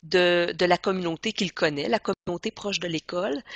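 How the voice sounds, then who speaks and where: At a moderate pace, a woman speaks at a medium pitch in a normal speaking voice. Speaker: education trainer. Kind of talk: training presentation.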